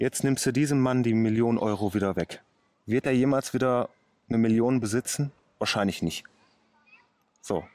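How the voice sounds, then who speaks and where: At a moderate pace and medium pitch, a man speaks with very even loudness, ordinary pitch variation and long, frequent pauses, in a dry, close sound with no echo. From Ruhr area, Oberhausen. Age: 30s. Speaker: car mechanic and day trader. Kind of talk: casual interview. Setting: outdoors.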